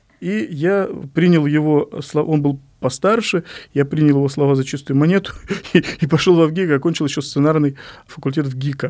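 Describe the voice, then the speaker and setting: At a moderate pace, a man speaks in an ordinary speaking voice, fairly high in pitch with ordinary pitch variation. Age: 40s. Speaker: poet and publishing editor. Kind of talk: interview monologue.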